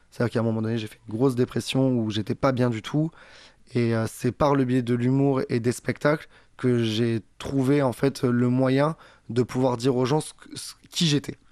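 A man with a normal speaking voice talks at a moderate pace, his medium pitch fairly even in intonation. The sound is dry and close with no echo, against a quiet background. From southern France. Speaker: comedian and singer. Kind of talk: interview.

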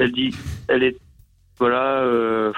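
At a very slow pace, a man speaks at medium pitch with monotone, flat intonation. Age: 20s. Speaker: caller. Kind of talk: call-in advice chat. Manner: halting.

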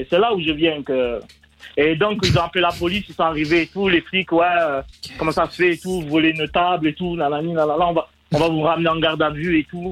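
Talking at a fairly quick pace over noticeable background noise, a man with a slight Marseille accent speaks at a high pitch. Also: fairly even intonation. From Marseille, France. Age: 30s. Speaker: caller. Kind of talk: casual storytelling. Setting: phone call.

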